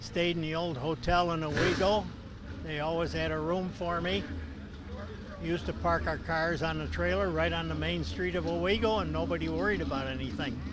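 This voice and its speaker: Talking fairly quickly, a man with an American accent is heard amid noticeable background noise. There is audible room echo as well. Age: 80s+. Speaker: retired race car driver. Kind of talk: interview.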